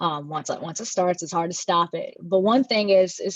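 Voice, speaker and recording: A woman with an American accent talks at a fairly quick pace, with a fairly low pitch and ordinary pitch variation. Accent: Southern US, comes out at times. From US South, North Carolina. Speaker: panel moderator. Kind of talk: panel discussion.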